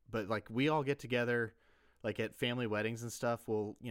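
On a very clean recording with a silent background, a man with a Southern US accent talks fairly quickly with fairly even intonation. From US South, South Carolina. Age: 20s. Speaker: podcast host. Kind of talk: casual chat.

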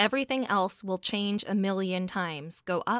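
A woman talks at a fairly slow pace in a plain, everyday voice at medium pitch. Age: 30s. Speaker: independent singer-songwriter. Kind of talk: casual interview.

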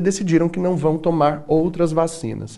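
His tone dark and mellow, a man speaks at a fairly high pitch and a moderate pace. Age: 30s. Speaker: TV and radio host. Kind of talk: talk show interview.

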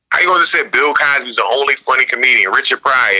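A man with an American accent rattles along at a very fast pace. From Newark, New Jersey. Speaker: comedian. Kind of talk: casual interview. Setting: radio show.

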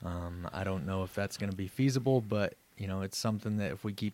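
Here is an unremarkable speaking voice with an American accent at a fairly quick pace. The recording is very clean, with a silent background. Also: man. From Southeast Wyoming / Northwest Colorado. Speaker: head athletic trainer. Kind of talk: casual chat. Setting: office.

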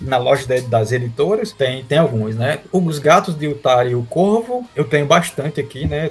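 Speaking at a moderate pace with hardly any pauses, a man with a fairly high, somewhat breathy voice uses lively intonation. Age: 30s. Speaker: comic artist and illustrator. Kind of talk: casual interview chat.

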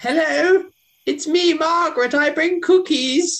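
In a put-on character voice, a man talks at a fairly slow pace and an extremely high pitch. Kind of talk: comic overacting. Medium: actual play. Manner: comic, sing-song disguise.

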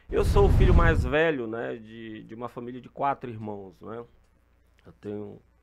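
A man has a plain, everyday voice at medium pitch. He talks at a fairly slow pace with big swings in loudness. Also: ordinary pitch variation. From Maranhão, Brazil. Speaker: retired police colonel and politician. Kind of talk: casual interview.

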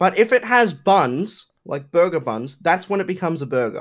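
A man talks at a moderate pace with an Australian accent. His pitch swings very widely. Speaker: YouTuber and streamer. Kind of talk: casual chat.

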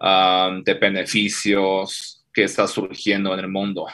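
With a Chinese accent, a man talks in a bright, sharp tone at a very slow pace. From China. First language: Chinese (speaking Spanish). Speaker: fintech CEO. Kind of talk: interview.

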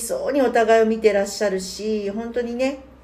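In a room with audible echo, a woman talks with a dark, mellow tone at a fairly high pitch. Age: 60s. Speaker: podcast co-host, worker at a same-sex partner matchmaking agency. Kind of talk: casual chat.

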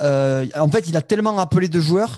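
The speaker is a man with a fairly high pitch. His tone comes across as dark and mellow. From Toulouse area, southwest France. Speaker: podcast host. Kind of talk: casual chat. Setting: live stream.

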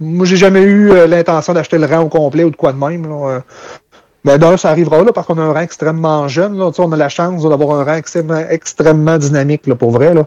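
A man talks at a fairly quick pace in a fairly high pitch. His tone is dark and mellow, with fairly even intonation. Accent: Quebec. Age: 30s. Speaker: dairy farmer. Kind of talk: casual interview.

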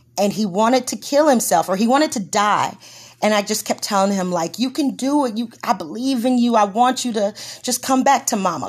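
Speaking with an American accent, a woman with a fairly high pitch and ordinary variation talks at a fairly quick pace in a somewhat breathy voice. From Texas, Corpus Christi. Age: 40s. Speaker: podcast host. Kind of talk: casual chat.

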